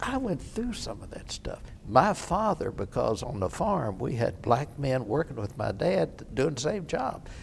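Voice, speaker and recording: The speaker has an American accent and talks at a fairly slow pace with hardly any pauses. Pitch swings are very wide. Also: man, fairly high pitch for a man. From Kentucky (Oldham County). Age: 80s+. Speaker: war veteran. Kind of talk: oral history interview.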